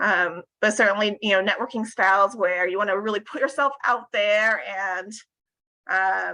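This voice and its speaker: Bright and sharp in tone, a woman speaks with an American accent. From US West Coast. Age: 40s. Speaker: corporate HR director and workshop speaker. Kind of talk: interactive workshop talk. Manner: conscious downward intonation at sentence ends.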